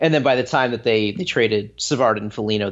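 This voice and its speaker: Speaking fairly quickly, this man uses a plain, everyday voice. His pitch sits in the medium range and varies in an ordinary way. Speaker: hockey blogger. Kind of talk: casual chat.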